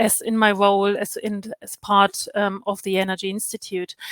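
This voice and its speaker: Recorded dry and close with no echo, a woman speaks at a fairly high pitch. Her intonation stays monotone and flat. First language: not English. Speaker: health and safety expert. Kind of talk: conference presentation. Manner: halting, many fillers.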